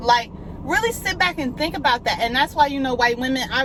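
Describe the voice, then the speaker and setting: A woman speaks with a high pitch. Noticeable background noise sits behind her. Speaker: YouTuber. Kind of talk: casual vlog monologue. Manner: loud, not soft-spoken.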